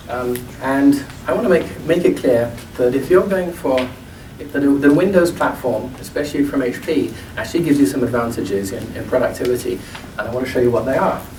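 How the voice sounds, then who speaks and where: A man with an English accent and fairly high pitch at a fairly quick pace and lively intonation, amid noticeable background noise and audible room echo. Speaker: product marketing demonstrator. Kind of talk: product demo presentation.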